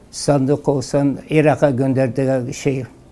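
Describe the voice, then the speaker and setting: A man's fairly high voice at a very slow pace, with noticeable background noise. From southeastern Turkey, Mardin. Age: 70s. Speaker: woodcarving craftsman. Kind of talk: interview testimony. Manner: halting.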